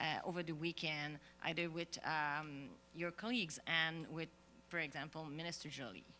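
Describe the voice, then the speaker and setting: A woman's very deep, low voice with a Quebec accent, bright and sharp in tone, at a moderate pace with fairly even intonation. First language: French. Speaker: journalist. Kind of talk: press conference question. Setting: press conference. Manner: halting.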